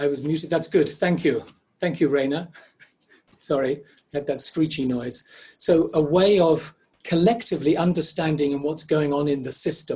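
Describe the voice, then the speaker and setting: Speaking at a moderate pace with long, frequent pauses, a man with an Irish accent has a fairly high pitch and a dark, mellow tone. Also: fairly even intonation. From Ireland. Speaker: facilitation trainer presenting a webinar. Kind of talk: interactive webinar presentation.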